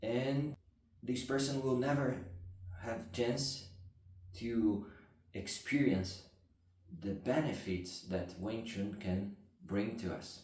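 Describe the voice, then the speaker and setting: A somewhat breathy man with a non-native accent at a very slow pace, with long, frequent pauses and audible room echo. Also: medium pitch for a man, ordinary pitch variation. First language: not English. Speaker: martial arts instructor. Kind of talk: explanatory talk to camera. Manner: halting.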